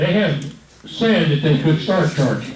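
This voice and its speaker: Lively intonation and a fairly slow pace mark this voice with a Texan accent, heard with audible room echo and noticeable background noise. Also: man. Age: 70s. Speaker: fire department official. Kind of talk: public meeting.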